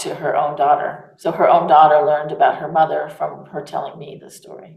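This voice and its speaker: In a room with audible echo, a woman with a very deep, low voice speaks at a fairly quick pace in an American accent. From United States. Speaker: author. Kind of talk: interview.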